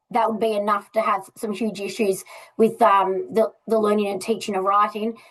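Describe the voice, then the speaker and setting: A woman speaks in an Australian accent at a fairly high pitch. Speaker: literacy educator. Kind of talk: presentation.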